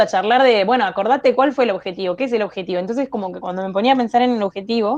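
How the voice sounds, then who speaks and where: A woman speaks in a Rioplatense accent. Her pitch varies in an ordinary way. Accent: Argentine Spanish (rioplatense). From Argentine Patagonia (Chubut). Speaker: industrial designer. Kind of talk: interview. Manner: hesitant, many fillers.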